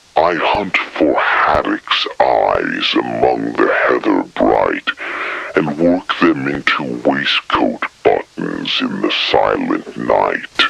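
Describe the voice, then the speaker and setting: A man's put-on character voice, growling and mumbling at a very slow pace. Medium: read story. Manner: slow, muttering.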